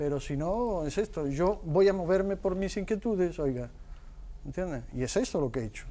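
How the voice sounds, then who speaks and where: A man's high, dark, mellow voice at a fairly quick pace. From Huelva, Andalusia, Spain. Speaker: film director. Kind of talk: TV debate. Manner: halting.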